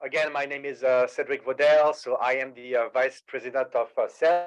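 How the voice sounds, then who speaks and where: Against a quiet background, a man with a strong French accent speaks at a fairly quick pace. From France, Paris. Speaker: sales executive. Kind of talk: webinar presentation.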